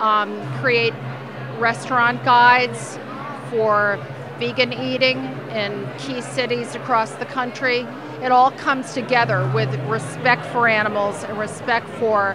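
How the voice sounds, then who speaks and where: A woman at a fairly slow pace, with noticeable background noise and a dry sound with no echo. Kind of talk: interview answer. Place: hall. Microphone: handheld.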